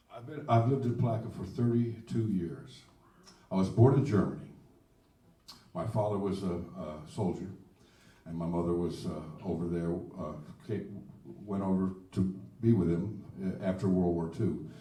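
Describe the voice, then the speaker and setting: Audible room echo surrounds a man with a very deep, low pitch and ordinary pitch variation. He keeps a moderate pace broken by long, frequent pauses. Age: 70s. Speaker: blues singer-songwriter. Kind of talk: casual chat. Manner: halting.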